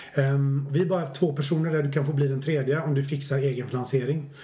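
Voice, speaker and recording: A man talks in a fairly high, somewhat breathy voice. Room echo is audible. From Swedish west coast, Stenungsund. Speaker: business researcher and author. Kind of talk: podcast interview.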